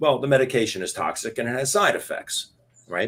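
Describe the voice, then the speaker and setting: The recording is very clean with a silent background as a man speaks at a fairly quick pace. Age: 60s. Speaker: former doctor promoting a supplement. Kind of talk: interview presentation.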